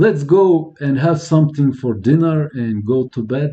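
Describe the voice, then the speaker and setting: A man's fairly high, somewhat breathy voice with a dark, mellow tone, ordinary pitch variation and a fairly slow pace. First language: French. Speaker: electronics repair youtuber. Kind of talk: live stream tutorial. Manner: halting.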